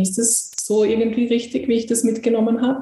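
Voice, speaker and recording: A woman's fairly high voice at a fairly quick pace, with audible room echo and noticeable background noise. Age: young. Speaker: podcast host. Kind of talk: interview.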